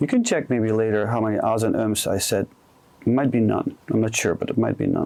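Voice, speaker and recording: A man with a Dutch accent speaks in a calm tone at a medium pitch. His pace is moderate and his intonation fairly even. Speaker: career coach. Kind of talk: interview conversation. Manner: calm with comfortable pauses.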